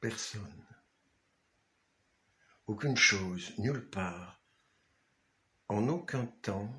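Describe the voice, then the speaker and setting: A man's fairly low voice in a calm tone, very slow, with long, frequent pauses and ordinary pitch variation. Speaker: author. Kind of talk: guided meditation. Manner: slow, calm.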